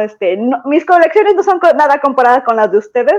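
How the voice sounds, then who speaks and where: A woman's intonation is lively, heard against a quiet background. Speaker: fan fiction author. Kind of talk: casual chat. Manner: halting.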